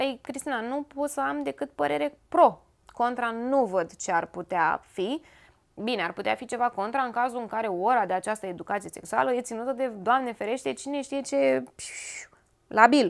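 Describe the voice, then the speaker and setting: Against a quiet background, a woman with a fairly high pitch speaks at a moderate pace, her pitch swinging very widely. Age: 30s. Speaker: lifestyle YouTuber. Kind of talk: informative talk to camera. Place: home room.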